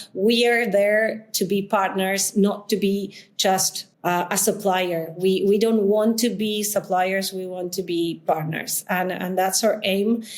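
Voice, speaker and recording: Speaking very slowly, a woman with a Spanish accent keeps her voice monotone. Her intonation stays flat throughout. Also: medium pitch for a woman. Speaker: coworking space founder. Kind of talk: interview. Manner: halting, many fillers.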